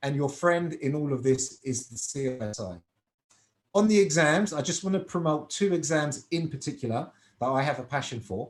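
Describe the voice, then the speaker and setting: The voice is somewhat breathy, with lively intonation and a British accent. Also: man, fairly high pitch for a man, moderate pace. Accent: British accent, noticeable in Cyprus. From UK. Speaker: finance professional and exam tutor. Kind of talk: webinar presentation.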